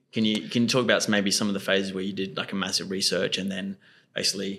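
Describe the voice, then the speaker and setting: A man with an Australian accent at a very fast pace, fairly low in pitch, on a very clean recording with a silent background. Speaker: podcast host. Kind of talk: casual interview chat.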